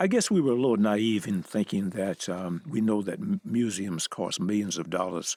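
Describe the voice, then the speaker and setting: With a Southern US accent, a man speaks at a fairly low pitch in a dark, mellow tone, with ordinary pitch variation and hardly any pauses. The sound is dry and close with no echo, and the recording is very clean against a silent background. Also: moderate pace. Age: 80s. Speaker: civil rights photographer, museum founder. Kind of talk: interview. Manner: halting.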